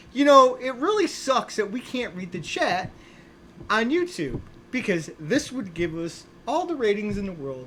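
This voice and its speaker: A woman's voice jumps through very wide pitch swings and big swings in loudness, with noticeable background noise behind it. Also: fairly high pitch for a woman, moderate pace. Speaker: army veteran, podcast co-host. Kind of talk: casual chat. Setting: live stream on camera with guests.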